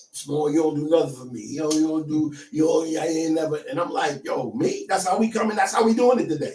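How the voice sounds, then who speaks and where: In a New Jersey accent, a man talks at a fairly quick pace with a fairly high pitch and lively intonation. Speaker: pastor and mental health counselor. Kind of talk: casual interview chat. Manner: animated storytelling.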